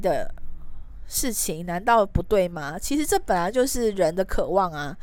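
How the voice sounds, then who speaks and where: Captured in a very clean recording with a silent background, a woman speaks with very wide pitch swings. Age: 30s. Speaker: podcast host. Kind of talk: solo podcast monologue.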